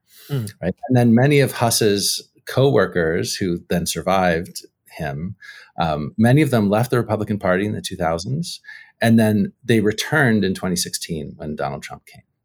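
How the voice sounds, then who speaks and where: With an American accent and a plain, everyday voice, a man speaks at a moderate pace in a fairly low pitch, using lively intonation and big swings in loudness on a very clean recording with a silent background. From US, socially conservative union area. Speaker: history professor. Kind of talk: casual interview.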